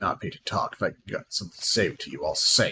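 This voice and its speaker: At a very fast pace, a man performs a put-on character voice. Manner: gruff, snorting, contemptuous.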